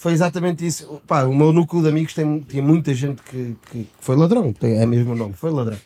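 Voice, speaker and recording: This man's voice sits at a fairly high pitch and has a dark, mellow tone. He speaks at a fairly quick pace. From Portugal. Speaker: podcast co-host. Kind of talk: casual chat.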